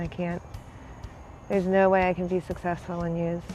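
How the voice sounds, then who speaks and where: Music plays in the background as a woman speaks at a moderate pace. She has an American accent and a fairly low pitch. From Pennsylvania, Bethlehem. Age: 20s. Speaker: person in addiction recovery. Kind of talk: personal testimony interview. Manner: halting.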